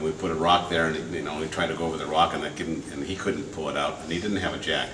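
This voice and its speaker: Noticeable background noise and audible room echo fill the space. A man with a very deep, low pitch speaks at a fairly quick pace with fairly even intonation. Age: 70s. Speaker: performance artist. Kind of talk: storytelling performance. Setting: gallery with live audience. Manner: halting, many fillers.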